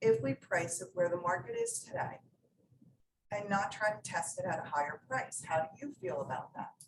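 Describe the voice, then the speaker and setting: A woman speaks at a moderate pace in a fairly low, somewhat breathy voice with lively intonation. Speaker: real estate agent. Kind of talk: training presentation.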